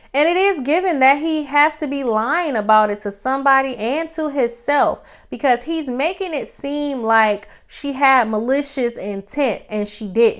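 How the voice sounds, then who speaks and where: An animated voice with an American accent moves at a fairly slow pace on a very clean recording with a silent background. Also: woman, high pitch for a woman, lively intonation. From Detroit, west side. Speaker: YouTube reality TV commentator. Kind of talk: casual commentary monologue. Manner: animated, conversational.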